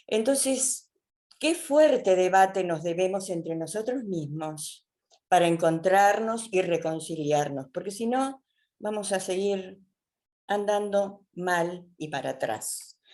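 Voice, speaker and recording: Over a quiet background, a woman with a dark, mellow tone and medium pitch speaks at a very slow pace with lively intonation. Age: 70s. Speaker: seminar participant. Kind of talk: webinar discussion comment.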